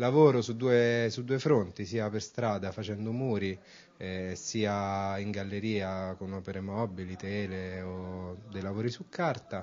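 A man's fairly low voice, very slow, with fairly even intonation. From Rome, Italy; Italy. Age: 20s. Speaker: urban artist; interviewee. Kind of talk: interview. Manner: hesitant, with fillers. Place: hall. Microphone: handheld.

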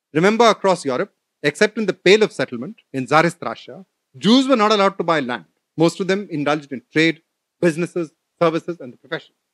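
A man talks at a very fast clip in a high voice, his intonation lively and his loudness swinging widely. The background stays quiet. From India (Delhi). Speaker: professor. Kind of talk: lecture. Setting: stage with audience. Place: hall. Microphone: podium.

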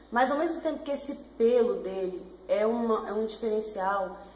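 Light background noise and audible room echo accompany the woman's voice. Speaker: pet vlogger. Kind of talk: casual vlog chat. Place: home room. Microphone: webcam.

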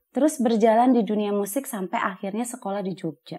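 Animated in tone, a woman speaks very fast at a fairly high pitch. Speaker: talk show host. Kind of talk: interview. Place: studio.

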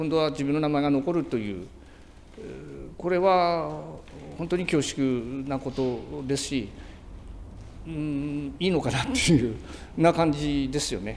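Light background noise sits behind a man speaking at a fairly slow pace, with long, frequent pauses. His pitch is fairly high, with ordinary pitch variation. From Tsugaru, Aomori, Japan. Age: 60s. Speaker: nebuta float maker. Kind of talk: interview answer. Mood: humble, moved. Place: workshop.

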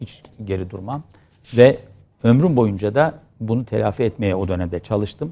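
Delivered at a moderate pace, this dark, mellow voice has long, frequent pauses, big swings in loudness and ordinary pitch variation. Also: man, fairly low pitch for a man. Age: 50s. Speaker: politician, former member of parliament. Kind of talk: interview.

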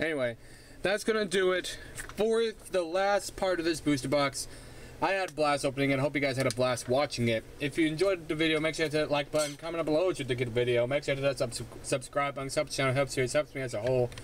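Talking very fast, a man uses a fairly high voice with ordinary pitch variation. The sound is dry with no echo, and there is light background noise. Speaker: gaming YouTuber. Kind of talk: card pack opening video. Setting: home recording with camera. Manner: animated. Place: home room. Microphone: phone near.

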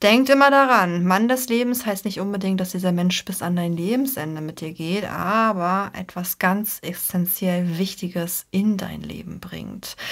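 Over a quiet background, a woman speaks at a fairly slow pace with ordinary pitch variation and big swings in loudness. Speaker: card reader. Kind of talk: tarot reading commentary.

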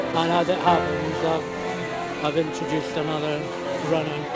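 Loud music plays behind a man who speaks at a fairly slow pace. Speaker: retired social worker. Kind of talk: interview answer. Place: home room. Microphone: phone near.

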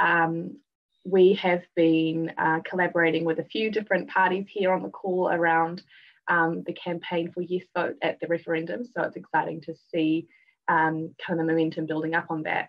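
At a moderate pace, a woman with a New Zealand accent speaks with a fairly low pitch and fairly even intonation against a quiet background. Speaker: youth justice advocate; guest. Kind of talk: live panel discussion. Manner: hesitant with many fillers. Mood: warm, hopeful. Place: home room. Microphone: video call.

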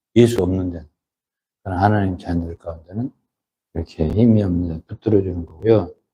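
A man's voice has a dark, mellow tone and a somewhat breathy quality. His pitch is fairly low. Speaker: pastor. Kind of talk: sermon. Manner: conversational, emphatic.

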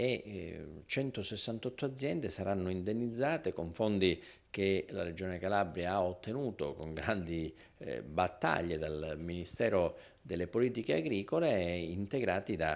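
A man with a very deep, low voice speaks at a fairly slow pace with lively intonation. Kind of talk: interview answer. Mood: serious, reassuring. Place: office. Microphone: handheld.

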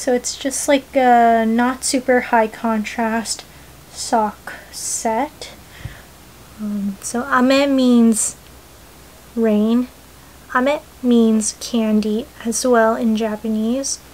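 A woman's fairly high, monotone, flat voice at a very slow pace, broken by long, frequent pauses. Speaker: knitting podcaster and indie yarn dyer; knitting vlogger. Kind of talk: casual vlog chat. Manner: hesitant, many ums. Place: home room.

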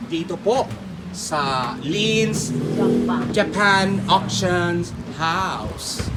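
A man's raised, projected voice, high-pitched and animated, over noticeable background noise. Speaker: vlogger. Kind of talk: street pitchman-style sales pitch, shop walkthrough vlog. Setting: inside a shop, on location. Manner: animated, excitable, hyping items with exclamations.

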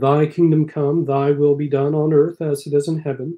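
Fairly high in pitch for a man, his voice carries a dark, mellow tone. He talks at a fairly slow pace against a quiet background. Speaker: parish priest. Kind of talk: live-streamed noonday prayer service with a chatty opening. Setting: live stream from a church. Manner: earnest, pastoral, solemn and intoned in prayer, with mild self-deprecating humor. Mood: calm, solemn. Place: home room. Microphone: webcam.

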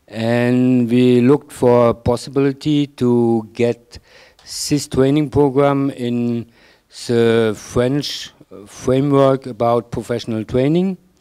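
A man's dark, mellow voice with a German accent, medium pitch, fairly even intonation and a very slow pace, over a quiet background. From Germany. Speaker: ecological building training organizer; presenter. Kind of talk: conference presentation. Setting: stage with audience. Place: hall. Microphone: handheld.

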